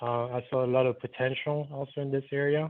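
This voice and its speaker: The intonation is monotone and flat. A man delivers it at a moderate pace. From Martinique. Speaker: architect. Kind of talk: lecture. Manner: hesitant, many fillers. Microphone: phone audio after reconnecting.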